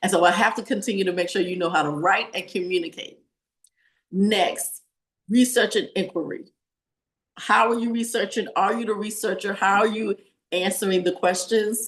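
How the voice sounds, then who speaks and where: Delivery comes at a moderate pace. It carries a Southern US accent. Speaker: teacher. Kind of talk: webinar presentation.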